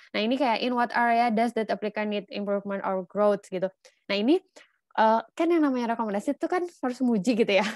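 With lively intonation, a woman speaks at a very fast pace, the sound dry with no echo and the background quiet. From Indonesia. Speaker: scholarship mentor. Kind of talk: online lecture. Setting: video call. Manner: animated. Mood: casual, encouraging. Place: home room. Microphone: video call.

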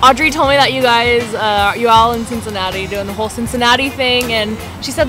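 Over clear background music, a woman speaks at a very fast pace in a high pitch, the sound dry with no echo. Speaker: vlogger. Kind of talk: casual vlog chat. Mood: grateful, bubbly. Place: home room. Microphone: webcam.

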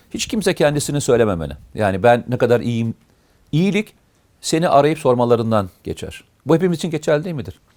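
At a fairly quick pace, a man with a medium pitch speaks with very wide pitch swings. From Turkey, Amasya and Uşak. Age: 50s. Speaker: retired army officer, security consultant. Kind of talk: interview, life story. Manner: hesitant, frequent filler sounds.

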